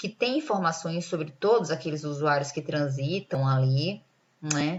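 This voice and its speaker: A woman with a northeastern Brazilian accent speaks at a very deep, low pitch and a fairly slow pace, somewhat breathy, with ordinary pitch variation. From Brazil, Northeast. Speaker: lecturer. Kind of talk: lecture.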